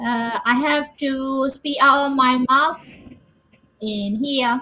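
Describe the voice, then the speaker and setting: A woman's high, raised and projected voice, very slow in pace, with fairly even intonation. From Myanmar. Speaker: English learner. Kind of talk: casual chat. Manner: halting, hesitant.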